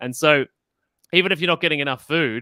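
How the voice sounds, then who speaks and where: A man with an Australian accent speaks at a fairly high pitch with ordinary pitch variation and a bright, sharp tone, in a dry, close sound with no echo on a very clean recording against a silent background. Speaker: health podcaster. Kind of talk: interview on a live stream.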